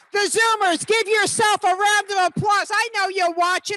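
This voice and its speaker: Raised and projected, a woman's voice in an American accent comes across animated and bright, sharp in tone, at a moderate pace, with a dry, close sound and no echo. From New York. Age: 60s. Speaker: motivational speaker. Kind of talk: motivational talk. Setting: stage with live and online audience.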